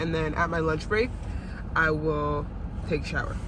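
Over noticeable background noise, a woman's voice comes through dry with no echo. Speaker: vlogger. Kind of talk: casual vlog chat. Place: car. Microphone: phone near.

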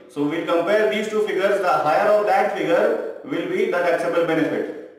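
Fairly quick speech with strong room echo over a quiet background. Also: man. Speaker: tax tutor. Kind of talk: tutorial. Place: classroom. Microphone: camera far.

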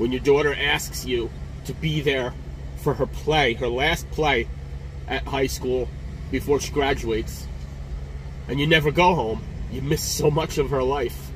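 Over light background noise, a man talks at a fairly slow pace. He leaves long, frequent pauses. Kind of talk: casual vlog chat. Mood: frustrated, emotional. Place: car. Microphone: phone near.

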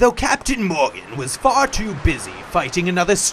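The text is read aloud plainly. Its intonation is lively.

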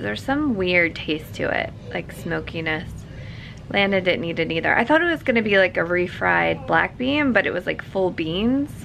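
A woman at a moderate pace, with light background noise. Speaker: mother vlogger. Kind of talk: casual vlog chat. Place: home room. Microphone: phone near.

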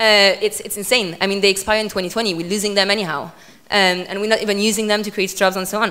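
A woman rattles along at a very fast pace in a French accent, her bright, sharp tone held in monotone, flat intonation. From France. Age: 20s. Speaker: politician; guest. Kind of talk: talk with audience Q&A. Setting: stage with audience. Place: hall. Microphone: handheld.

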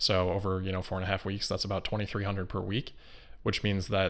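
A man with a fairly low pitch talks at a very fast pace in a monotone, flat intonation. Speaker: remote interview guest, investor commentator. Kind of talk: interview answer. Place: home room. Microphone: video call.

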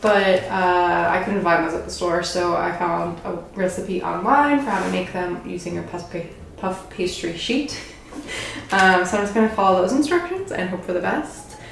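Over light background noise and audible room echo, a woman talks at a moderate pace. Her pitch varies in an ordinary way. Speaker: cooking channel host. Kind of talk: cooking tutorial chat. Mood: cheerful, laughs often. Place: kitchen. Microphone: camera far.

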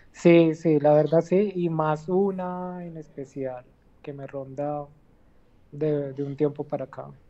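Soft-spoken, the voice moves at a very slow pace with fairly even intonation. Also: woman, very deep, low pitch for a woman. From Colombia, not Medellín region. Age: 30s. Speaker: cancer patient. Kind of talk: testimony. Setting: phone call from hospital. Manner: halting.

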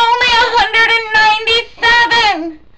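A woman puts on a character voice at an extremely high pitch with fairly even intonation. She talks at a fairly slow pace over clear background noise. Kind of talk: comic overacting. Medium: comedy sketch. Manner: rambling, repetitive, crude.

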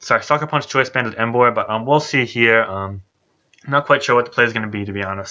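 Speaking at a very fast pace, a man uses a medium pitch, ordinary pitch variation and a bright, sharp tone. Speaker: gaming commentator. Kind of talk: live esports commentary. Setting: recorded gameplay narration. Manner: thinks aloud, hesitant, filler-laden, improvising predictions; casual, conversational.

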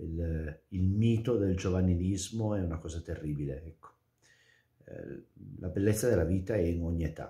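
The voice is somewhat breathy and dark, mellow in tone, with big swings in loudness. Long, frequent pauses break the speech over a quiet background. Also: man, very deep, low pitch for a man, ordinary pitch variation, moderate pace. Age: 40s. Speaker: priest; religious commentator. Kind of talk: gospel commentary; casual chat. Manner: hesitant, with fillers. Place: home room. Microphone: webcam.

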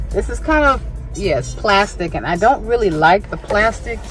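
Faint music plays behind a woman's voice. She talks fairly slowly, and the sound is dry with no echo. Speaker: home decor vlogger. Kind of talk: casual vlog chat. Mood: relaxed, pleased. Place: car. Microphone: phone near.

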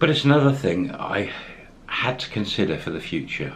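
Light background noise sits under a man's speech. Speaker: expat vlogger. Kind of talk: casual vlog chat. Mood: warm, upbeat.

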